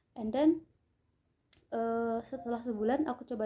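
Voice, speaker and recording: A woman's dark, mellow tone at a moderate pace. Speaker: vlogger, aspiring au pair. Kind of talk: casual vlog storytelling.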